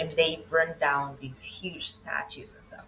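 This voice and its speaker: A woman speaks at a moderate pace with a Venezuelan accent. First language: Spanish. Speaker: web and brand designer, expat. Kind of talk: interview chat.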